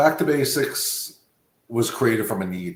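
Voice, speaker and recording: At a moderate pace, a man speaks at a medium pitch with an American accent. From Long Island, New York. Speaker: dog trainer, business founder. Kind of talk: podcast interview.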